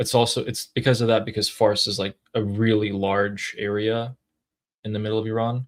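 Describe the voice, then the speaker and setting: In a very clean recording with a silent background, a man with an American accent speaks at a moderate pace. He has a normal speaking voice, fairly low in pitch, with fairly even intonation. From California. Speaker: YouTuber hosting a live discussion. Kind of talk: casual live stream chat.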